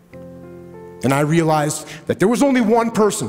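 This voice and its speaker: Music plays behind a man speaking at a fairly slow pace in a passionate, intense tone. His pitch swings very widely. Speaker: retired Navy SEAL officer, motivational speaker. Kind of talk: motivational speech. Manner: passionate, assertive, intense.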